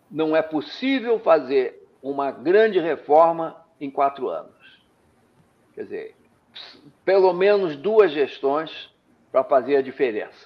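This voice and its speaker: Pausing long and often, a man speaks very slowly at a fairly high pitch, his intonation lively and his loudness swinging widely. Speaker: education economist. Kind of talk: interview.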